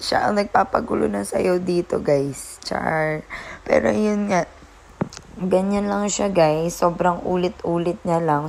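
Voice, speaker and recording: Noticeable background noise sits behind the speaker. She is a woman with a fairly low pitch and ordinary pitch variation. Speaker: vlogger. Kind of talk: vlog narration. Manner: casual, chatty.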